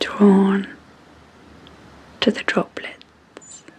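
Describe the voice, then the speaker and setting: Someone whispers calmly in a British accent. Noticeable background noise sits behind the voice. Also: woman. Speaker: clinical psychologist and hypnotherapist. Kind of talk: sleep hypnosis. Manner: slow, calm.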